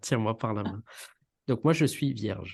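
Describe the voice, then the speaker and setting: A man speaks at a fairly slow pace with a somewhat breathy voice. His pitch is fairly low, with ordinary pitch variation. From Réunion (Saint-Benoît, east). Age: 30s. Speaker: podcast co-host, engineer. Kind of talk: casual interview chat. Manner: hesitant, many fillers.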